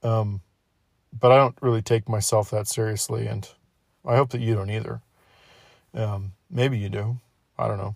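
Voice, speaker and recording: Somewhat breathy and fairly even in intonation, a man speaks with long, frequent pauses in a dry, close sound with no echo. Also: fairly low pitch for a man, moderate pace. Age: 20s. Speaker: podcast host. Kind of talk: casual monologue.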